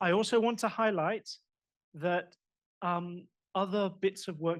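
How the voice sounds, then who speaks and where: A somewhat breathy man's voice. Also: very clean recording, silent background. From Australia. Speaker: academic examiner. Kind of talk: doctoral defense examination. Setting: audience in room. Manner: fast; animated.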